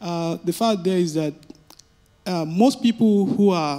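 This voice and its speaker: A man with an African accent, high-pitched, at a fairly slow pace. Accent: African intonation. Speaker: audience member asking a question. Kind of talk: audience Q&A at a panel. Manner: halting, many fillers.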